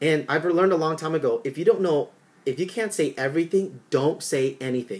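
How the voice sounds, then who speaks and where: A man's animated, fairly high voice at a moderate pace, with ordinary pitch variation. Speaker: network marketing trainer. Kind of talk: tutorial.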